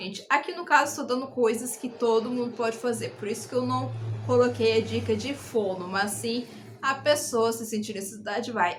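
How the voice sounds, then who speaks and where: A woman with an interior São Paulo accent talks at a moderate pace. There is noticeable background noise along with audible room echo. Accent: Brazilian caipira. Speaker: YouTuber. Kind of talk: casual advice vlog. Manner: animated, gesturing.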